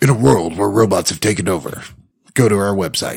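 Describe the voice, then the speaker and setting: A man in a put-on character voice talks at a fairly quick pace with fairly low pitch. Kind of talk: dramatic announcer. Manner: dramatic, epic.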